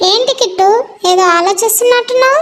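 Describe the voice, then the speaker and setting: A female-sounding cartoonish character voice, squeaky and extremely high in pitch, talks at a moderate pace. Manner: gentle, gracious.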